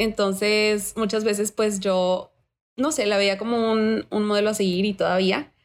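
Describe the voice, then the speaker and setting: On a very clean recording with a silent background, a woman speaks in a normal speaking voice at medium pitch, with fairly even intonation, very even loudness and a fairly slow pace. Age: 20s. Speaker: university student. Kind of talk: interview.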